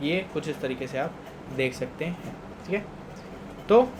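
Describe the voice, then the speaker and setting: A man speaks at a moderate pace in a high voice with ordinary pitch variation, over noticeable background noise and audible room echo. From Punjab, India. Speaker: teacher. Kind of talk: lecture. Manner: conversational, repetitive check-ins.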